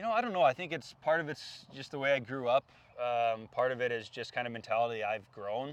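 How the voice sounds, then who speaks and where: An unremarkable speaking voice from a man, pitched in the middle range, fairly quick in pace, its pitch varying in an ordinary way. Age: 20s. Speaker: professional hockey player. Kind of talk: casual chat. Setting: outdoors.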